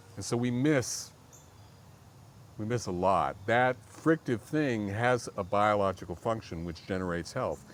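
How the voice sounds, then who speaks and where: Using an ordinary speaking voice, a man talks at a fairly low pitch with ordinary pitch variation and a fairly slow pace. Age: 60s. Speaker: jazz cornetist and composer. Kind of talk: interview.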